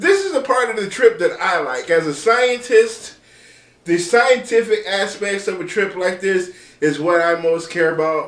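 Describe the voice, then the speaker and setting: Over noticeable background noise, a man talks at a fairly slow pace in a high voice. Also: ordinary pitch variation. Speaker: meteorologist. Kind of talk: weather forecast video. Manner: casual, conversational.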